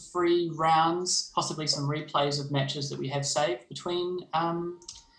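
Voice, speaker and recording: A man with a New Zealand accent in a monotone, flat intonation, over noticeable background noise. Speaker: game developer. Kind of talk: livestream presentation. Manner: hesitant, many fillers.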